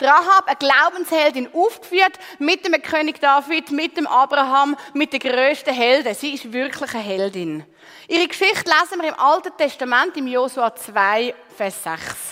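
A woman projects a raised, high-pitched voice with lively intonation at a moderate pace. Noticeable background noise is present. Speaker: preacher. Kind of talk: sermon. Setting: church stage with congregation.

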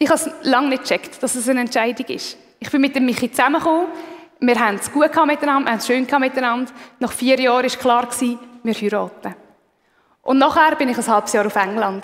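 Rushing at a very fast pace, a woman talks in a high pitch with ordinary pitch variation. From Switzerland, Aargau. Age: 30s. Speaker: lay preacher. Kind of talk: sermon.

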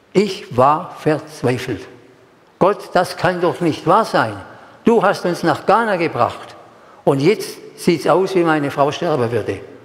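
Audible room echo and noticeable background noise surround a man speaking at a high pitch with lively intonation. He goes at a very slow pace with long, frequent pauses. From Stuttgart area, Germany. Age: 80s+. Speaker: preacher. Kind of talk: sermon. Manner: emotional, repetitive.

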